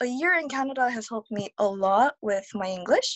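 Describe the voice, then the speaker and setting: The speaker is a woman with a Korean accent. Her intonation is lively. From South Korea. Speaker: digital nomad, multilingual speaker. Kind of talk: interview.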